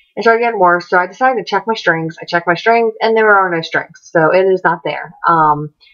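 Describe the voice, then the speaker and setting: A woman's medium-pitched voice moves at a fairly quick pace, its pitch rising and falling in an ordinary way. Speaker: vlogger. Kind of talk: personal vlog. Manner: fast.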